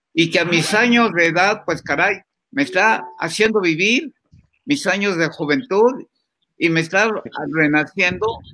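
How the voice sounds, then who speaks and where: Using a raised, projected voice with a bright, sharp tone, a man speaks high and fairly slowly with lively intonation, very even loudness, and long, frequent pauses. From Mexico. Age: 80s+. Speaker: comic book artist. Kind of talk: interview. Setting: video call.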